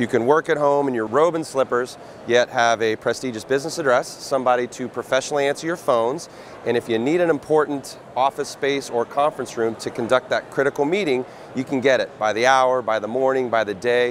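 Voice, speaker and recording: A man speaks at a fairly quick pace with ordinary pitch variation, and light background noise is present. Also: dry sound with no echo. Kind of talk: interview answer. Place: studio. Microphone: lapel.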